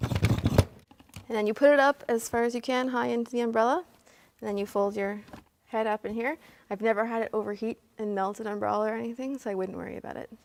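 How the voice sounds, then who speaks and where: With a Canadian accent and a normal speaking voice, a woman talks at a fairly quick pace and fairly high pitch, keeping her intonation fairly even. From Canada, Hamilton Ontario. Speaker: photographer. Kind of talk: tutorial.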